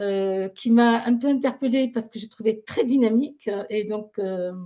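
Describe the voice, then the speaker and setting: A woman speaks with a fairly high pitch and a somewhat breathy quality. Her tone is dark and mellow, with ordinary pitch variation. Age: 60s. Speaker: therapist in alternative medicine, former pharmacist. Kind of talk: interview testimony. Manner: animated.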